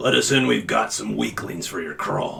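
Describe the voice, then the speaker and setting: Using a put-on character voice, a man sounds raspy. His delivery moves at a moderate pace. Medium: actual play. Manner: gruff, dismissive.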